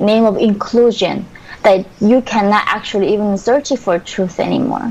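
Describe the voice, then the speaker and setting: Over noticeable background noise, a woman talks at a moderate pace at a medium pitch, her intonation monotone and flat. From North Korea. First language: Korean. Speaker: defector and activist. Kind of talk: interview.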